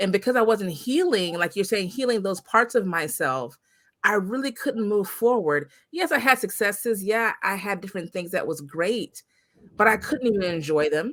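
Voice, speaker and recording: At a moderate pace and with lively intonation, an ordinary speaking voice comes through on a very clean recording with a silent background. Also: woman, medium pitch for a woman. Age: 40s. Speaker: podcast host. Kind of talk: podcast interview.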